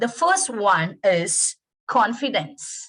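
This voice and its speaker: A woman with a Tamil accent speaks at a high pitch. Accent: Indian (Tamil) English. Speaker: English lecturer. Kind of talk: webinar lecture. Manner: halting.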